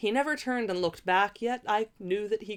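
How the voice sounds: The voice reads in a natural way.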